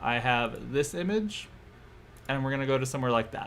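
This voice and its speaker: Audible room echo surrounds a man at medium pitch who speaks at a fairly quick pace with lively intonation. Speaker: doll photographer streaming photo editing. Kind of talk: live stream tutorial. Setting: live stream. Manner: fast; casual, self-deprecating.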